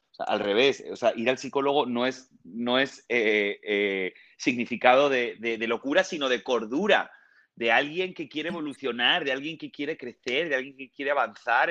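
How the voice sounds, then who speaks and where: The voice has a bright, sharp tone and ordinary pitch variation, against a quiet background. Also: man. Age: 30s. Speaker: TV presenter and actor. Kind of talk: casual interview.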